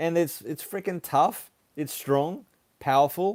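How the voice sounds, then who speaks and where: On a very clean recording with a silent background, a man with an Australian accent talks at a fairly slow pace in a fairly high pitch, with ordinary pitch variation. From Australia (Sydney, Brisbane; some years in Papua New Guinea). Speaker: car YouTuber. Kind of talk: live stream Q&A, reading viewer comments. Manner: casual, hesitant with fillers.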